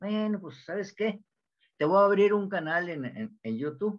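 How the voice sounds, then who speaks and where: Over a quiet background, a man with a northern Mexican accent speaks at a moderate pace in a high voice. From Mexico, Monterrey. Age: 80s+. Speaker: home cook YouTuber. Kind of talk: interview answer. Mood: cheerful, chatty. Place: home room. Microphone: video call.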